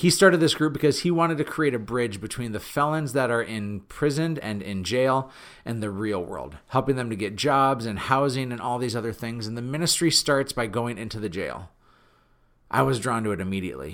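Animated and energetic, a man with a medium pitch uses lively intonation at a fairly quick pace in a very clean recording with a silent background. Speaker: podcast host. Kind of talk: solo podcast monologue, motivational talk. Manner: animated, energetic, conversational; has a loud voice.

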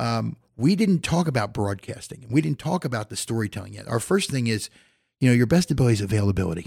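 A man with an American accent talks at a very fast pace, his medium-pitched, somewhat breathy voice making very wide pitch swings. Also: very clean recording, silent background. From Philadelphia. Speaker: college radio station manager and professor. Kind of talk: casual interview.

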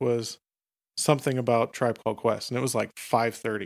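An ordinary speaking voice from a man with an American accent, medium in pitch, fairly quick, with fairly even intonation, on a very clean recording with a silent background. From central Pennsylvania. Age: 30s. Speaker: executive chef. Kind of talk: casual chat.

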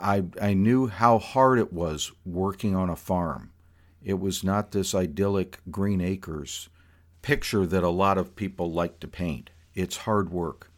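A man with an American accent speaks at a fairly slow pace in a very deep, low pitch with ordinary pitch variation. The recording is very clean, with a silent background. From South Florida. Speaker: podcast host. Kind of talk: personal storytelling monologue.

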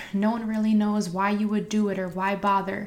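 Here is a woman with a medium pitch. She keeps a moderate pace. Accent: American. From New Jersey, Harrison. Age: 20s. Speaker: podcast host and high school teacher. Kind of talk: motivational monologue.

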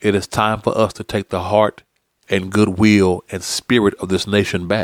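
Recorded very cleanly over a silent background, a man with an American accent talks at a moderate pace in a fairly low pitch. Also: dry, close sound with no echo. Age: 40s. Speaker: podcast host. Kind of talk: opinion monologue. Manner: animated.

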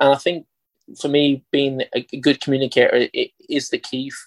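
A man with an Irish accent talks at a moderate pace, recorded dry and close with no echo. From Ireland, County Carlow. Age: 30s. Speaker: football coach. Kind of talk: interview.

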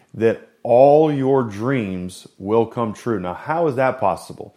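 A man's very slow speech in a very clean recording with a silent background. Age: 40s. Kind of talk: devotional monologue. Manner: animated; halting, many fillers.

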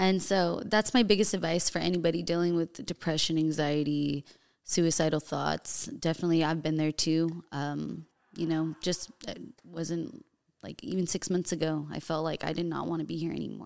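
With an American accent, a woman has a plain, everyday voice, pitched fairly low with ordinary pitch variation, at a moderate pace. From US, Colombian and Mexican heritage. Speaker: fitness trainer and bodybuilding competitor. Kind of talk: casual chat.

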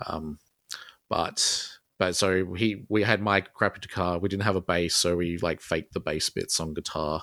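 In an Australian accent, a man with a very deep, low pitch and a bright, sharp tone speaks at a moderate pace in a dry, close, echo-free sound on a very clean recording with a silent background. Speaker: solo musician and artist. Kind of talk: casual interview chat. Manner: hesitant, filler-heavy.

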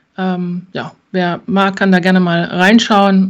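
A woman at a medium pitch talks on a very clean recording with a silent background. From Thuringia, Germany. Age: 40s. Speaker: insurance broker. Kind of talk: interview. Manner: hesitant, many filler sounds.

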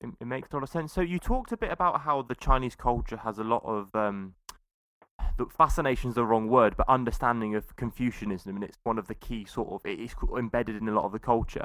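In a very clean recording with a silent background, a man with a British accent talks very fast at a medium pitch. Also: ordinary pitch variation. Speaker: podcast host. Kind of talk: casual chat.

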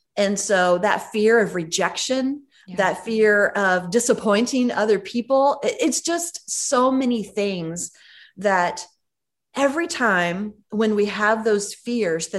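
At a very slow pace and a medium pitch, a woman speaks with lively intonation over a quiet background. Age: 50s. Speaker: ministry executive and podcast host. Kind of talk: casual chat.

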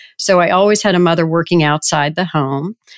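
A normal speaking voice from a woman in an American accent, fairly low in pitch, at a fairly quick pace with fairly even intonation, dry and close with no echo, on a very clean recording with a silent background. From US South, Richmond, Virginia. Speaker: payments company chief executive. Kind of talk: interview.

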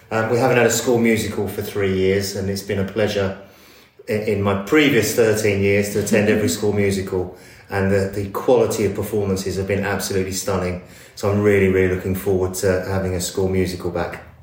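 A man with an English accent, his voice fairly low and flat in a monotone, over noticeable background noise. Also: fairly quick pace. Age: 50s. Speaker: school assistant head. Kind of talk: interview.

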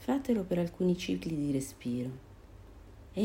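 At a very slow pace, a woman speaks in a somewhat breathy voice with a gentle, calm, dark and mellow tone and very wide pitch swings. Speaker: meditation guide. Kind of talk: guided meditation. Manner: slow, calm, soothing with long pauses; gentle, soft-spoken.

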